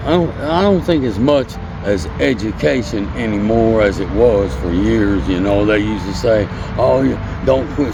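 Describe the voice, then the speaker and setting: A man with an American accent talks at a fairly slow pace, with audible room echo and noticeable background noise. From US Midwest, Indiana (Hammond). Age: 60s. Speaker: homeless man. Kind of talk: interview.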